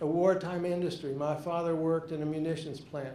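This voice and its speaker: Amid noticeable background noise and audible room echo, a man with an American accent talks at a moderate pace with monotone, flat intonation. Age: 70s. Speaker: retired English professor. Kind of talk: talk to an audience. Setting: stage with audience.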